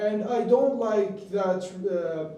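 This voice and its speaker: In a room with audible echo, a man with an Arabic accent speaks very slowly at a high pitch. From Iraq, Baghdad. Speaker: student. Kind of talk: mock exam interview. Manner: hesitant.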